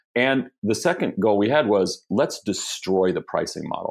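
A man with an ordinary speaking voice talks at a fairly quick pace, fairly low in pitch with ordinary pitch variation. The sound is dry and close with no echo, over a quiet background. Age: 50s. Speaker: tech entrepreneur. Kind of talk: casual interview.

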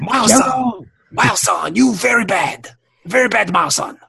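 A man puts on a character voice at an extremely high pitch. He talks at a fairly slow pace. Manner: scolding.

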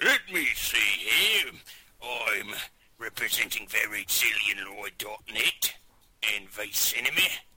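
Putting on a raspy character voice at a medium pitch, a man speaks at a fairly slow pace with long, frequent pauses. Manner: playful, joking.

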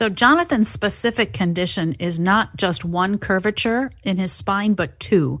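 Against a quiet background, a woman with an unremarkable speaking voice talks at a fairly slow pace and medium pitch, with ordinary pitch variation. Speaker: recurring guest contributor. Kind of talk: casual discussion.

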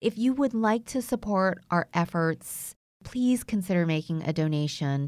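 A woman with an American accent uses an ordinary speaking voice, fairly low in pitch, with lively intonation at a moderate pace. The recording is very clean, with a silent background. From United States (came from Vietnam as infant). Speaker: podcast host. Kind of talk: appeal to listeners; casual chat.

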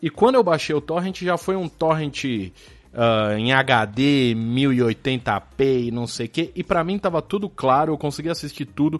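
A man with a fairly high pitch talks at a fairly slow pace with lively intonation. It is an unremarkable speaking voice set against a quiet background. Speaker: podcast co-host. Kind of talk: casual chat.

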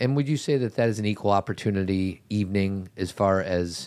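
Using a normal speaking voice, this man keeps a moderate pace, his fairly low pitch showing ordinary variation. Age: 50s. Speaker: podcast host. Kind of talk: casual chat; ad read.

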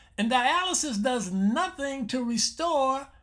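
In a raised, projected voice, a man talks at an extremely high pitch with lively intonation. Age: 70s. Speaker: health show host, doctor. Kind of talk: radio health talk monologue. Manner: repetitive, conversational.

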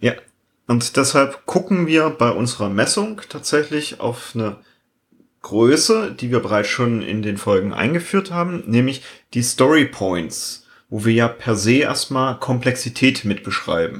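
On a very clean recording with a silent background, a man with a slight East German accent talks fairly slowly at a medium pitch with lively intonation. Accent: slight East German dialect slipping through. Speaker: agile coach and podcast co-host. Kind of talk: casual chat.

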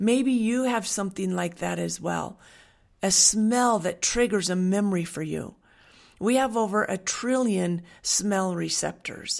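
A woman with an American accent speaks in an ordinary speaking voice at medium pitch and a fairly slow pace, with ordinary pitch variation, on a very clean recording with a silent background. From Western Washington, US. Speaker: essential oils wellness coach. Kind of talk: monologue with sales pitch. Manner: warm, earnest.

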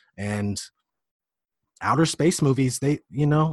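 Speaking with an American accent at a moderate pace, the voice is somewhat breathy with lively intonation, recorded with a dry, close sound with no echo against a quiet background. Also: man. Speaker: conspiracy video creator and rapper. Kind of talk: casual chat.

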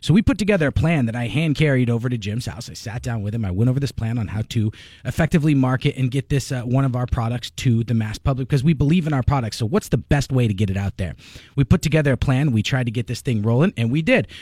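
At a very fast pace, a man speaks in a medium-pitched, dark, mellow tone that is somewhat breathy, with ordinary pitch variation on a very clean recording with a silent background. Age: 30s. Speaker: businessman being mentored. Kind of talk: radio talk show discussion. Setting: radio studio.

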